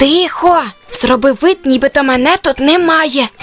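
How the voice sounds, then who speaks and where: With faint music in the background, a woman uses a high-pitched, put-on character voice at a moderate pace. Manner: urgent.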